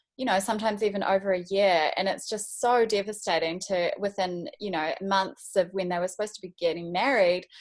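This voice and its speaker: Talking fairly quickly with hardly any pauses, a woman uses a medium pitch and fairly even intonation. She has a New Zealand accent. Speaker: wedding photographer. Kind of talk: casual interview. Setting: video call.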